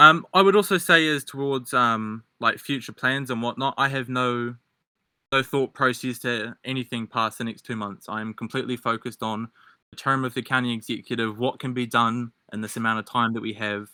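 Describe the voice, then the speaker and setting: A man's bright, sharp voice at a medium pitch with a strong New Zealand accent, fairly quick with ordinary pitch variation, dry and close with no echo, on a very clean recording with a silent background. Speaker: debate candidate. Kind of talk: political debate. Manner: halting.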